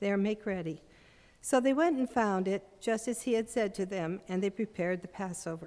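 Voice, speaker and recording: At a moderate pace, a woman talks in a dark, mellow tone at a medium pitch with ordinary pitch variation, in a very clean recording with a silent background. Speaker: congregation scripture reader. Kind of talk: scripture reading.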